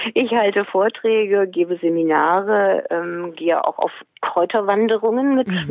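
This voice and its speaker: A woman speaks at a medium pitch. Noticeable noise sits in the background. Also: very even loudness. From Hesse, Germany. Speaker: book author and animal naturopath. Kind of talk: interview.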